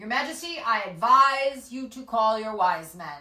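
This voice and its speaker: In a put-on character voice, a woman speaks loudly and projects at a moderate pace, her fairly high pitch swinging very widely and her volume rising and falling sharply. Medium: read story. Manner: precise, solemn.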